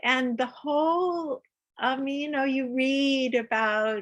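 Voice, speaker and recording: A woman's high voice at a very slow pace, with ordinary pitch variation. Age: 70s. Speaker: spiritual teacher. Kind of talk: testimony. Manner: halting.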